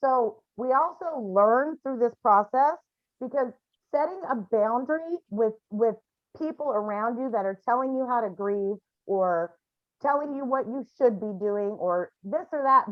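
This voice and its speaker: A woman talks loudly at a fairly slow pace. Her high-pitched voice has lively intonation. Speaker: grief support group facilitator. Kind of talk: support group session.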